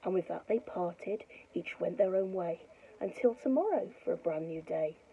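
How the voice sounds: The reading voice sounds natural, and the intonation is lively.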